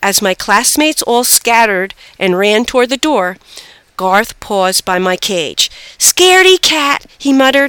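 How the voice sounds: Lively intonation comes through here. The delivery is a natural reading voice.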